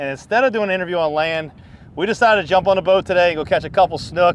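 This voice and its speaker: A high-pitched man speaks at a very fast pace with lively intonation. There is noticeable background noise. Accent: slight Louisiana. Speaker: fishing charter captain and video host. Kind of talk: casual vlog narration.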